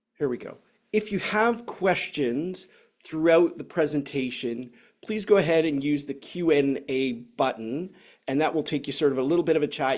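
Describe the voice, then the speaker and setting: He is a man with a Canadian accent and an unremarkable speaking voice, pitched fairly high. He talks at a moderate pace with ordinary pitch variation. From Canada. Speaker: software consultant, former navy officer. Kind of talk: webinar presentation.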